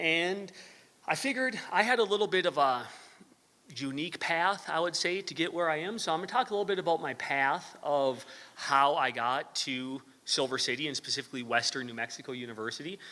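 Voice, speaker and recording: A man with a slight northern Wisconsin accent, fairly high pitch and a bright, sharp tone, fairly quick, in a very clean recording with a silent background. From US Midwest, northern Wisconsin. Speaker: university professor. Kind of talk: lecture. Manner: hesitant, many fillers.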